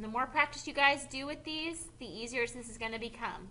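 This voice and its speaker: A woman speaks in a high pitch with ordinary pitch variation. There is audible room echo in the recording. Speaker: high school math teacher. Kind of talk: video lecture tutorial.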